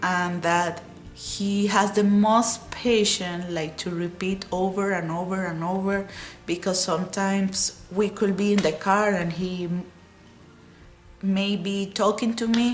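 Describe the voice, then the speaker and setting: A woman with a Spanish accent speaks at a fairly slow pace in a medium pitch, her intonation flat and monotone, with music playing in the background. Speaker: vlogger. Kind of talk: casual vlog talk. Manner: halting, with fillers.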